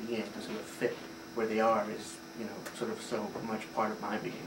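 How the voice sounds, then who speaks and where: This man speaks at a very fast pace with a medium pitch. Room echo is audible. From Puerto Rico. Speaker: theater director. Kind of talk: interview. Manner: hesitant, many fillers.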